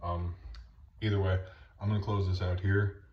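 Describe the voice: A man at a fairly quick pace, with little pitch movement and audible room echo.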